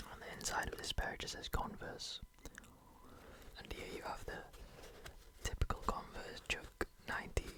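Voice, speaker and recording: Someone whispers at a moderate pace, leaving long, frequent pauses over noticeable background noise. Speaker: ASMR creator. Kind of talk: ASMR shoe collection show-and-tell. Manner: whispered; repetitive trigger words.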